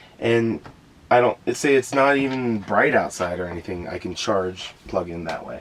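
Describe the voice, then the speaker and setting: A man's fairly low voice at a moderate pace, with big swings in loudness and noticeable background noise. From Florida. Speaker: van dweller. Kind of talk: casual chat.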